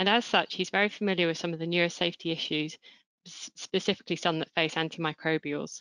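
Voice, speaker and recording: A woman with a fairly low pitch talks very fast, her intonation fairly even. The sound is dry with no echo over a quiet background. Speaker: webinar moderator. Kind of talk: formal introduction of speakers. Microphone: video call.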